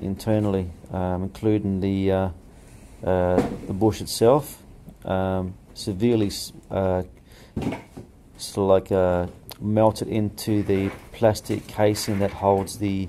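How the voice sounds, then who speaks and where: A man speaks at a fairly slow pace, with long, frequent pauses and noticeable background noise. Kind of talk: tutorial. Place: workshop. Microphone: phone near.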